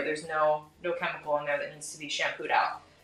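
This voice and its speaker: A woman talks at a fairly quick pace in an American accent. Noticeable background noise runs under her voice. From United States. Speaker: hair colourist and educator. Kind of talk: live hair colouring demo and interview.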